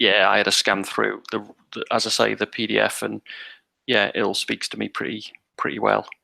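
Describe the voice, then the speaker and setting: The speaker talks at a fairly quick pace in a British accent. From Britain. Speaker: roleplaying game player. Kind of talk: tabletop roleplay session.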